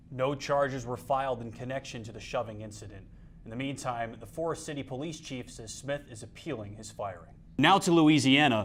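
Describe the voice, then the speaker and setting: An unremarkable speaking voice with an American accent moves at a fairly quick pace, showing ordinary pitch variation. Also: man, medium pitch for a man. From North Carolina. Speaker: student broadcast journalist. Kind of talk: TV news anchor read.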